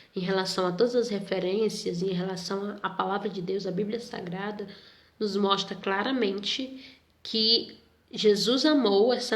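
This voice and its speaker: A woman's medium-pitched voice at a fairly slow pace, with fairly even intonation and audible room echo. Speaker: Sunday school teacher. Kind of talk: Bible lesson for youth.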